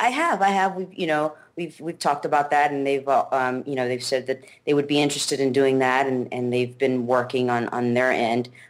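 At a fairly quick pace with hardly any pauses, a woman speaks in a very deep, low pitch with ordinary pitch variation. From Mexico. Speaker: MMA fighter. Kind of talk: interview. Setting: video call.

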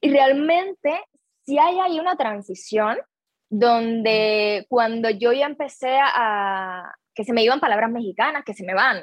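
A woman speaks at a fairly slow pace with a fairly high pitch. Her intonation is lively. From Cuba. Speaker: actress. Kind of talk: interview.

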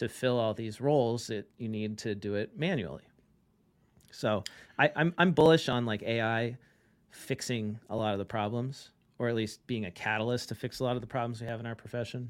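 Fairly quick pace, ordinary pitch variation, and a plain, everyday voice. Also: man, medium pitch for a man. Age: 40s. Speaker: accounting tech founder and CPA. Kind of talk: podcast interview. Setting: remote call.

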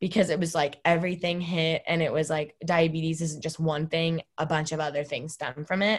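An ordinary speaking voice from a woman, fairly low in pitch, with ordinary pitch variation, a moderate pace and a quiet background. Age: 20s. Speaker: college student with diabetes. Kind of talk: interview.

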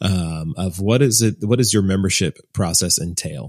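The man uses a plain, everyday voice at fairly low pitch. His pitch variation is ordinary. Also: very clean recording, silent background. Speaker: podcast host. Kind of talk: casual interview conversation.

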